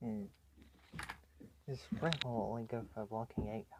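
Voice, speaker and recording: A man at a fairly slow pace, medium pitch, with ordinary pitch variation. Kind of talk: casual talk to camera about toys. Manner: quiet, soft.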